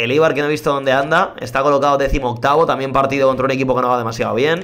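A man's voice with audible room echo. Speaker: gaming youtuber. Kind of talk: live gameplay commentary. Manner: animated; subdued energy.

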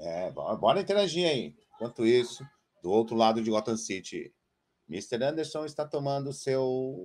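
A man at medium pitch, fairly slow pace and lively intonation. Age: 40s. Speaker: trader and trading educator. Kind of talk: live-stream trading lesson. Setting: live stream with chat. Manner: animated, addresses audience directly.

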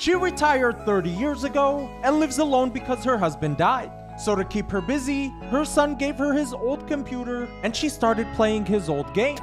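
With music in the background, a woman speaks at a high pitch and a moderate pace, with lively intonation and hardly any pauses. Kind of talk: short documentary-style story narration.

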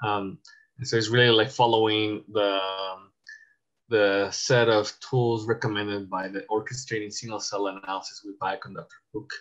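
Against a quiet background, a man with a fairly low pitch speaks at a moderate pace and with fairly even intonation. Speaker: presenter. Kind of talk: tutorial. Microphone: video call.

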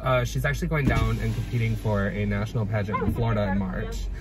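Clear music in the background and a dry sound with no echo. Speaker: guest. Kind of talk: casual conversation. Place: car. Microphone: phone near.

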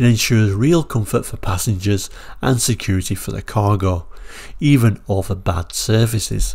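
In a very clean recording with a silent background, a man with a British accent speaks at a moderate pace, his fairly low, somewhat breathy voice showing ordinary pitch variation. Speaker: car brochure reviewer. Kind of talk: solo video review.

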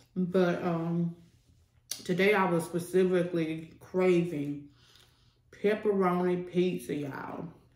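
Against audible room echo, the voice moves at a very slow pace in a flat monotone. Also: woman, fairly low pitch for a woman. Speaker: food vlogger. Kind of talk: casual vlog chat while eating. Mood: relaxed, playful. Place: home room.

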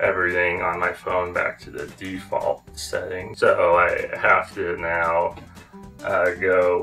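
Very slowly, a man speaks. Faint music plays in the background. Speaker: vlogger. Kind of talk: casual talk to camera. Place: home room.

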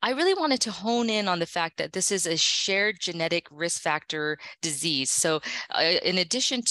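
A woman with an American accent speaks at a moderate pace with ordinary pitch variation and a bright, sharp tone. The sound is dry with no echo, and the background is quiet. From United States. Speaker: gastroenterologist; presenter. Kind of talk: lecture. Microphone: video call.

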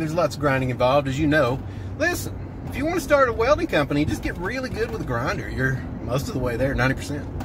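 A man talks at a very fast pace, the sound dry with no echo and noticeable background noise around it. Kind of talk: casual vlog chat. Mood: cheerful, joking. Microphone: phone near.

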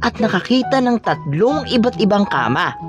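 The speaker keeps a moderate pace over music in the background. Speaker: voice-over artist. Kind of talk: children's story reading.

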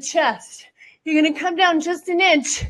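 A woman with an extremely high pitch at a very slow pace, against a quiet background. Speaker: fitness instructor. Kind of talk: workout coaching. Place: gym.

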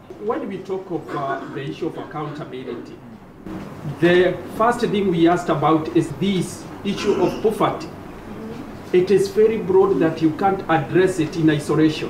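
With noticeable background noise behind him, a man speaks at a moderate pace in a high pitch with ordinary pitch variation. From Kenya, Nyeri County; Kenya. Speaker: member of parliament on a panel; panel member. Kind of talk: panel discussion. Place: hall.

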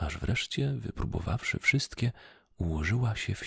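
A soft-spoken man whispers in a soothing tone with vocal fry. The sound is dry with no echo, and the background is quiet. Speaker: ASMR storyteller. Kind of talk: bedtime story read aloud in a whisper. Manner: soft, slow, soothing whispered narration. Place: home room. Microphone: studio mic.

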